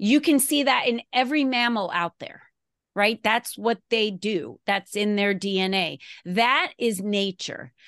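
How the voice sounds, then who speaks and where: A woman's normal speaking voice, fairly slow, with ordinary pitch variation and a dry, close sound with no echo over a quiet background. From Arizona. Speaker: entrepreneur and business coach. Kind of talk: interview.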